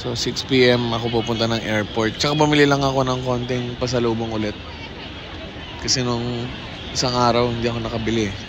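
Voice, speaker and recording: Crowd noise and audible room echo surround a man talking at a fairly quick pace. His medium-pitched voice stays monotone and flat. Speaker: travel vlogger. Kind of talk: casual vlog monologue. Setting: outdoors, walking in city.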